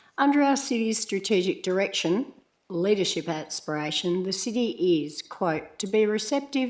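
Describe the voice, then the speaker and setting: With an Australian accent, a woman talks at a medium pitch with lively intonation. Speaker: community member giving a deputation to council. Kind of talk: prepared public statement. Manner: formal.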